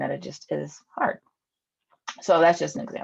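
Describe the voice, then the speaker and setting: At a moderate pace, a woman speaks in an ordinary speaking voice pitched fairly low. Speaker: eating psychology coach and police officer. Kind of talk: online group presentation. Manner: casual, filler-heavy.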